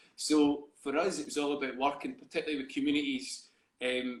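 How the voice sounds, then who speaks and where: The speaker has a Scottish accent and a fairly quick pace. Pitch varies in an ordinary way. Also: man. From Scotland, East Lothian. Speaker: theatre company co-founder. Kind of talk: interview. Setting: live video stream. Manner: halting, many fillers.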